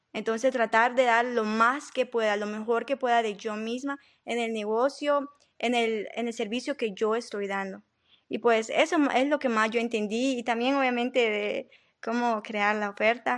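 A woman with an unremarkable speaking voice talks fairly slowly at a fairly high pitch. Her intonation is fairly even, and the background is quiet. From Honduras, Tegucigalpa. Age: 20s. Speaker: cleaning business owner. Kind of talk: interview.

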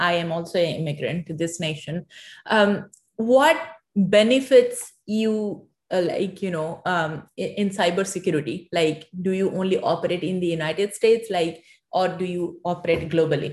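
Delivered at a moderate speed, the speech is somewhat breathy and shows ordinary pitch variation. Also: woman, medium pitch for a woman. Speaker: podcast host. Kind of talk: interview.

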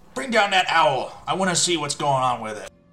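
Putting on a character voice, a man speaks at a fairly high pitch and a fairly quick pace while faint music plays in the background. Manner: yelling, commanding.

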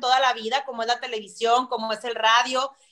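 A woman talks in a bright, sharp tone. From Mexico, Monterrey. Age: 30s. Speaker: TV weather presenter. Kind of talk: interview.

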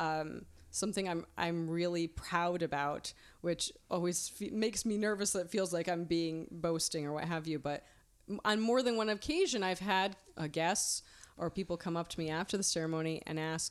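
A woman's ordinary speaking voice, fairly low in pitch, with fairly even intonation at a moderate pace. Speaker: wedding minister. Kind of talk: interview chat about wedding services.

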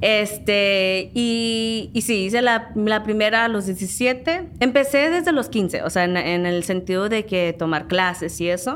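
Music plays behind a woman with a fairly high pitch and lively intonation. She talks at a very slow pace with hardly any pauses. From Southern California, San Diego area. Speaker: background actress. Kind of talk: interview.

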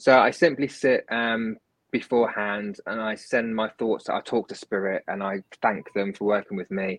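Speaking in a London accent, a man uses a medium pitch, a moderate pace, and fairly even intonation. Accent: British English, London area. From southern England, near London. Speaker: medium and healer, author. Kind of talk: casual interview, readings.

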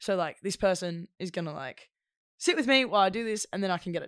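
A woman with an Australian accent, fairly quick and lively in intonation, on a very clean recording with a silent background. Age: 20s. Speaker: actor. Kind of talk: casual chat.

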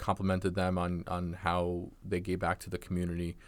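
In a very clean recording with a silent background, a man with an American accent speaks in a very deep, low pitch. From New York. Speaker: medical student. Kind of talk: casual chat. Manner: articulate, fluent.

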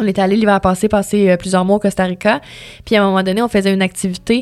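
Here a woman talks at a very fast pace. Her pitch is medium. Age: 20s. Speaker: radio host. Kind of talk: interview conversation.

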